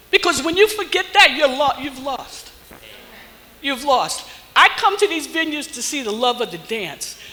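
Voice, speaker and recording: The speaker's tone is animated and the pace fairly slow. Background noise is noticeable. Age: 70s. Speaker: swing dance community elder. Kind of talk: motivational address to audience.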